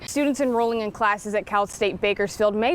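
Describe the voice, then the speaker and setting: A woman's voice amid noticeable background noise. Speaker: news reporter and anchor. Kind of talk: TV news package voiceover and live shots.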